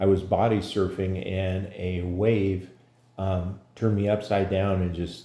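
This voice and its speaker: A man speaks with a very deep, low pitch and a dark, mellow tone that is somewhat breathy. His intonation is monotone and flat, and room echo is audible. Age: 60s. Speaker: patient. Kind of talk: testimony. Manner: halting, many fillers.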